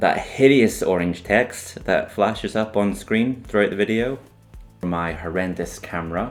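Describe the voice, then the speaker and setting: A man speaks with a Northern Irish accent at a fairly slow pace, his voice fairly low in pitch. His pitch varies in an ordinary way, and music plays in the background. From Northern Ireland. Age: 30s. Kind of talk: casual talk to camera.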